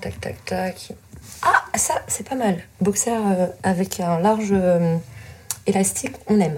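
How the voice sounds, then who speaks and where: Over noticeable background noise, a woman with a medium pitch speaks at a very slow pace with ordinary pitch variation. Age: 30s. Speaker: adapted physical activity teacher. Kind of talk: casual chat. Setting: in total darkness.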